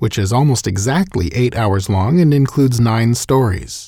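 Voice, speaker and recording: Breathy to some degree, a man speaks at a moderate pace with a medium pitch and a dark, mellow tone on a very clean recording with a silent background. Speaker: audiobook narrator.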